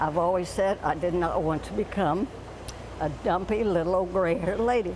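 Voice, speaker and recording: With noticeable background noise and audible room echo, a woman with a fairly low pitch speaks at a moderate pace. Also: ordinary pitch variation. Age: 90s. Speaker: great-grandmother interviewed at gym. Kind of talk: news interview soundbite. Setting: gym.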